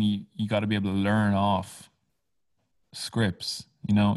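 Moderately paced speech from a man with a fairly low pitch. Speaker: musician and producer. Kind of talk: casual interview chat. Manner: clear, conviction.

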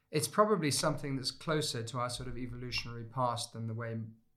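This man speaks very fast at a medium pitch with ordinary pitch variation. Room echo is audible. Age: 50s. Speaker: former war correspondent and lecturer. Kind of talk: interview conversation.

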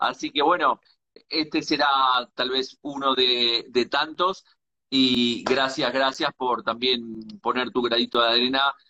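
This man has a normal speaking voice with a medium pitch. He talks at a fairly slow pace. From Uruguay. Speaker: live-stream host. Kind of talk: live interview stream. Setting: live video stream.

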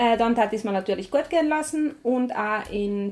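The woman's pitch shifts in an ordinary way. She keeps up a fairly quick pace. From South Tyrol, Meran. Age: 20s. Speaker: charity staff member. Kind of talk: interview. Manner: halting.

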